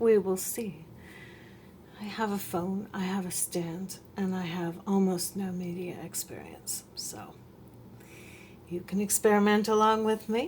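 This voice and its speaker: The speaker is soft-spoken and somewhat breathy. The pace is fairly slow. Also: woman. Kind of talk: casual crafting talk to camera. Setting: home, refrigerator hum in background.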